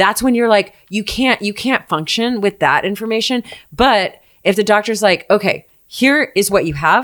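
A plain, everyday voice moves at a moderate pace with ordinary pitch variation. The recording is very clean with a silent background. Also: woman, medium pitch for a woman. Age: 30s. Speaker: dating expert. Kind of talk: casual chat.

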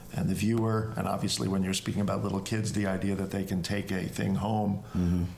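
Music plays behind a man whose fairly low voice keeps a fairly even intonation. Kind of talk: casual chat. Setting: Airbnb, recorded live.

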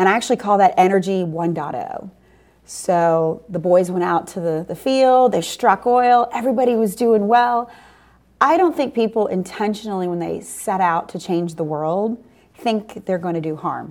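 This is a normal speaking voice with an American accent and lively intonation. The pace is moderate. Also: woman, medium pitch for a woman. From New Orleans, US South. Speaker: energy company founder and CEO. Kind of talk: interview conversation.

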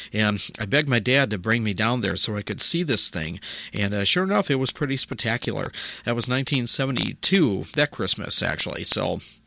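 A man with a medium pitch talks at a moderate pace, his lively intonation paired with a tone that is warm as well as bright and sharp. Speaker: radio host. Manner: casual, rambling, chatty with filler 'uh' and small jokes; warm, friendly sign-off tone, thanking listeners.

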